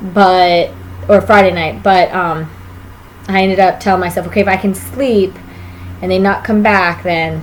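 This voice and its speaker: With long, frequent pauses, a woman speaks at a moderate pace and medium pitch with fairly even intonation over noticeable background noise. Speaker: vlogger, expectant mother. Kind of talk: casual vlog monologue.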